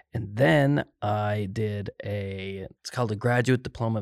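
A man with a Cape Breton accent speaks at a fairly low pitch with ordinary pitch variation. The recording is very clean, with a silent background. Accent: Cape Breton Canadian English. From Cape Breton, Nova Scotia, Canada. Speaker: mathematics professor. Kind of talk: casual interview conversation.

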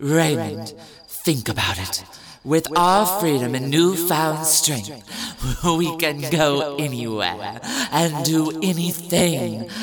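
A put-on character voice with a theatrical tone moves at a very slow pace, with audible echo around it. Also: man, fairly high pitch for a man. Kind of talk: 1920s glamour-star affectation. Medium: audio drama. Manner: arch, theatrical, affectionately mocking.

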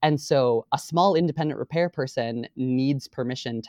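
In a dry, close sound with no echo and a quiet background, a man talks with a plain, everyday voice. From Boston area, Massachusetts. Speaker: state government staffer and voting rights volunteer. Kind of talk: interview.

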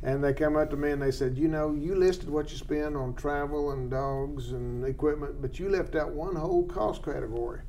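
A man with an American accent, fairly high-pitched and fairly quick, his intonation fairly even, over noticeable background noise. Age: 60s. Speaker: wildlife biologist host. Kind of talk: casual expert interview. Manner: folksy, humorous.

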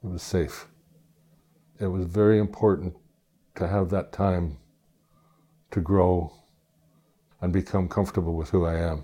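A man with a very deep, low voice and a dark, mellow tone talks at a moderate pace with fairly even intonation, leaving long, frequent pauses. The recording is very clean, with a silent background. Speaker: retired geologist. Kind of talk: interview recollection.

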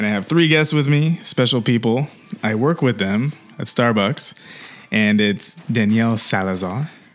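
A plain, everyday voice from a man, medium in pitch, at a moderate pace with lively intonation. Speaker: podcast host. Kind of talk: casual chat.

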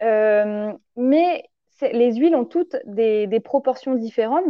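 A woman's voice with ordinary pitch variation. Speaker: naturopath. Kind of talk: interview, explaining nutrition. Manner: hesitant, many fillers; animated.

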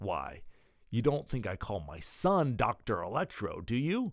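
A man's put-on character voice, fairly low in pitch, with very wide pitch swings, on a very clean recording with a silent background. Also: fairly slow pace.

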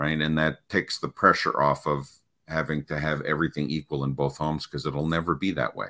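This man has a very deep, low pitch with a bright, sharp tone and vocal fry. He speaks at a fairly quick pace in a monotone, flat intonation. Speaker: parenting coach. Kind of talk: casual interview. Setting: video call.

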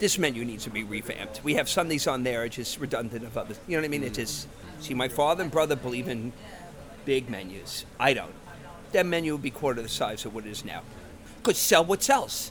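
A man speaks very fast with lively intonation, at a medium pitch, in an American accent. Noticeable background noise runs under his voice. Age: 50s. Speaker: ice cream parlor owner. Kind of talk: interview.

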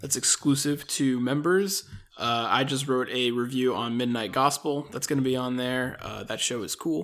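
This is a man with an ordinary speaking voice. His pitch is medium, his pitch variation ordinary and his pace moderate. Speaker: friend of host, guest. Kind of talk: casual chat.

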